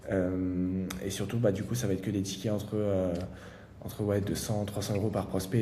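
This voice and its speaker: A man speaks in a somewhat breathy voice. Audible room echo fills the recording. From France, Valence near Lyon. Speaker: startup founder. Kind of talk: interview. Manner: fast; halting, many fillers.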